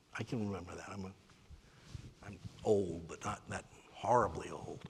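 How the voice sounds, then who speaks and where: Somewhat breathy, this man speaks at a fairly low pitch. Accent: South Carolina. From US South, Spartanburg, South Carolina. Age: 60s. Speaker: author and lecturer. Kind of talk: lecture.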